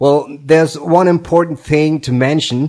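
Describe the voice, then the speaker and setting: A man speaks in a non-native accent at a moderate pace. His tone is dark and mellow. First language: not English. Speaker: tutorial host, software developer. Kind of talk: tutorial.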